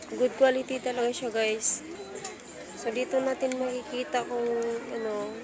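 Over noticeable background noise and audible room echo, a woman speaks in a high pitch at a moderate pace with fairly even intonation. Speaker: vlogger. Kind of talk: walking vlog. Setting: outdoors at night market. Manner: casual, chatty.

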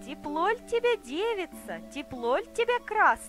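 A woman's put-on character voice, high-pitched and fairly bright, with very wide pitch swings, a fairly slow pace and faint music in the background

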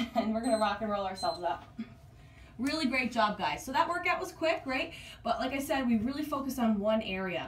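Delivered at a fairly quick pace, the speech carries audible room echo over light background noise. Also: woman. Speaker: fitness coach. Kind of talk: workout tutorial. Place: home room. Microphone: camera far.

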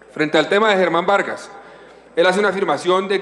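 A man's voice with ordinary pitch variation. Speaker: senator. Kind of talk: parliamentary debate speech. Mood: combative, rebutting accusations. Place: hall. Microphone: podium.

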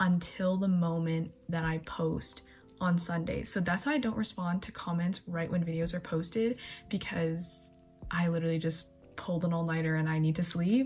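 The intonation is fairly even and the pace moderate. Faint music sits in the background. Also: woman. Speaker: college student vlogger. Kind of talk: casual vlog chat. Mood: chatty, relaxed, late night. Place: home room. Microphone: phone near.

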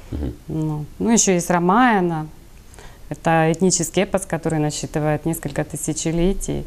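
A woman's fairly low-pitched voice at a moderate pace, with ordinary pitch variation. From Ukraine, Kryvyi Rih; Ukraine. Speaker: healer; interview guest. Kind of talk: TV interview. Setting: studio. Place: studio. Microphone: lapel.

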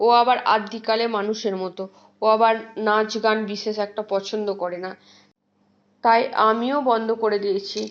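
Pitched fairly high, the woman talks with a flat, monotone intonation. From West Bengal, India (Bardhaman). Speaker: vlogger. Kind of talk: travel vlog narration. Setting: outdoors, train station and train. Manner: cheerful, chatty.

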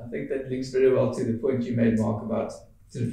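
A dark, mellow tone at a fairly quick pace, with strong room echo. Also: man.

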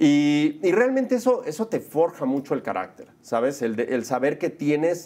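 A man talks in an animated tone with lively intonation. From Mexico City. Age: 40s. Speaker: film director and producer; interview guest. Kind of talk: casual interview. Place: studio. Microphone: lapel.

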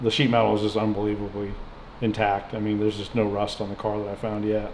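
With light background noise and audible room echo, a man with a fairly low voice speaks at a fairly quick pace. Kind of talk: casual vlog chat. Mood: relaxed, amused. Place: garage. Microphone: camera far.

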